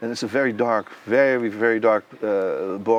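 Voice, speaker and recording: A man with a Dutch accent, medium pitch and fairly even intonation. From Netherlands. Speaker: composer and conductor. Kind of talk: interview. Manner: halting.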